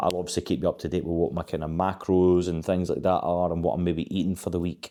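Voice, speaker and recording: Very fast and monotone, the flat delivery has a dark, mellow tone in a very clean recording with a silent background. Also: man, very deep, low pitch for a man. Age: 30s. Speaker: fitness vlogger. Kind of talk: casual vlog monologue. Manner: hesitant, many fillers and restarts.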